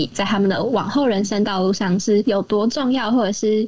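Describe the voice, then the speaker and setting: Noticeable background noise runs under this recording. A woman talks at a fairly quick pace. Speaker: university student volunteer. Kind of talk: casual interview. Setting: remote recording.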